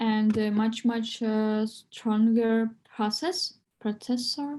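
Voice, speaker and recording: A woman with a non-native accent speaks at a very slow pace in a fairly high, somewhat breathy voice with a dark, mellow tone and fairly even intonation. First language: not English. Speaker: English learner. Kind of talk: online English class. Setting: video call. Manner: halting.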